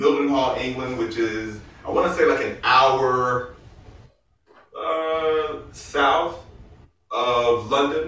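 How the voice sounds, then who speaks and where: A man's medium-pitched voice at a very slow pace, with audible room echo. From Arkansas. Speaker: comedian and military veteran. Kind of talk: casual chat. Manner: animated.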